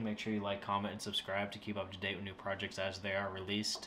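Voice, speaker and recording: A man with a fairly low voice talks very fast in a flat monotone over light background noise. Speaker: hobby woodworking channel host. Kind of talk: casual vlog chat. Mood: wry, self-mocking. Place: home room. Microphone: camera far.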